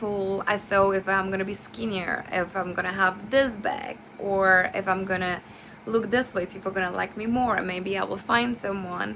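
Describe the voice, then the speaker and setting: A woman with a non-native accent, medium pitch, moderate pace and fairly even intonation. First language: not English. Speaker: nursing student. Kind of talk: class presentation. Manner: halting, with many fillers and self-corrections.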